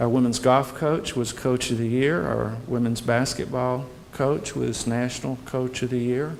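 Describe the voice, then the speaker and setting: A man with a Southern US accent speaks at a fairly slow pace, his medium pitch carrying fairly even intonation. Noticeable background noise and audible room echo fill the recording. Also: hardly any pauses. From US South, Birmingham, Alabama. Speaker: university president. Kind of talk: welcome speech to prospective students. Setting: hotel reception with audience.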